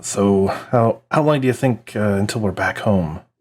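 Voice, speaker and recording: A put-on character voice, gruff and at a fairly slow pace, keeps very even loudness with ordinary pitch variation. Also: man, fairly low pitch for a man. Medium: actual play. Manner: tense.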